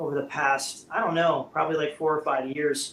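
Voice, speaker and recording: Speaking in an American accent, a man with a fairly high pitch keeps a moderate pace and fairly even intonation. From US West Coast, Bay Area. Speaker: rock guitarist. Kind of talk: casual interview chat. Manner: loud.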